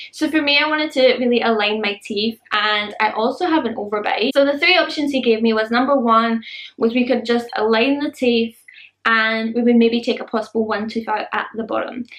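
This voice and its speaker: A woman speaks with a Scottish accent at a fairly high pitch. Her pace is fairly quick, and her pitch varies in an ordinary way. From Scotland. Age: adult. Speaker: beauty and lifestyle vlogger. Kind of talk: casual vlog talk to camera.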